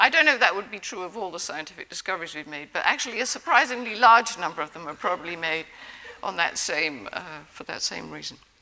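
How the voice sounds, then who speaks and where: Speaking very fast, a woman uses a fairly low pitch and lively intonation, with big swings in loudness. Noticeable background noise is present. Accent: English. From England. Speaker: prize-winning immunologist. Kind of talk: award acceptance speech. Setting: stage with audience.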